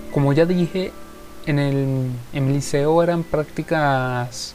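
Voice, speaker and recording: A man's voice with fairly even intonation over music in the background. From Venezuela. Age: 20s. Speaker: podcaster and musician. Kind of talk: solo podcast monologue.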